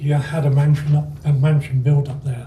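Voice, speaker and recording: A man speaks at a moderate pace in a fairly high, somewhat breathy voice. His tone is dark and mellow. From England. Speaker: retired club member giving life story talk. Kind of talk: personal life story talk. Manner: halting, with self-corrections.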